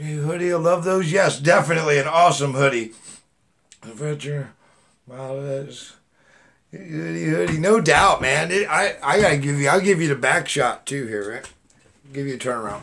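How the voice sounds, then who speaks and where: A man with fairly high pitch, lively intonation, a moderate pace and long, frequent pauses. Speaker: YouTube livestream host. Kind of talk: live stream chat. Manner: loud; animated.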